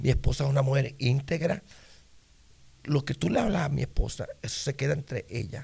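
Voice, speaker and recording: Fairly high in pitch, a man's voice carries a dark, mellow tone and vocal fry. He moves at a fairly quick pace with ordinary pitch variation, broken by long, frequent pauses. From Puerto Rico, Isabela. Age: 60s. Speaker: pastor. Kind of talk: interview testimony.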